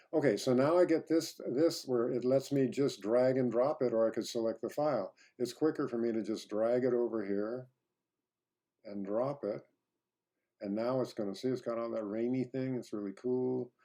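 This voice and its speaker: A man's dark, mellow voice at medium pitch, with ordinary pitch variation. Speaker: professor. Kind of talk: tutorial. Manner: fast; casual, halting with fillers.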